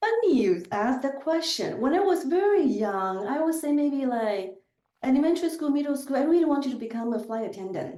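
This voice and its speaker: Speaking in a Chinese accent at a fairly quick pace, a woman uses a high pitch with very wide swings up and down. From southern China. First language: Chinese dialect. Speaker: business executive. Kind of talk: podcast interview.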